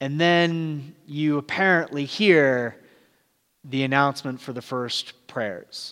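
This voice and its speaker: Very slowly, a man with an American accent speaks at a fairly high pitch with ordinary pitch variation. The recording is very clean, with a silent background. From Southern California. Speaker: pastor. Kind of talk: sermon. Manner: casual and halting with fillers.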